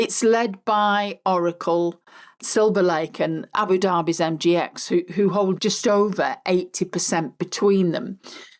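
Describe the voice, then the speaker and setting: With an English accent, a woman speaks at a fairly slow pace and with fairly even intonation in a very clean recording against a silent background. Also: medium pitch for a woman. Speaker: podcast host. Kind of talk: solo podcast monologue. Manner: conversational.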